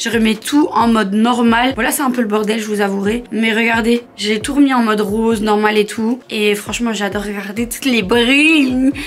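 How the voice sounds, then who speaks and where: Light background noise sits behind a woman speaking at a moderate pace with ordinary pitch variation. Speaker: vlogger. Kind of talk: casual vlog chat. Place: home room. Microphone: phone near.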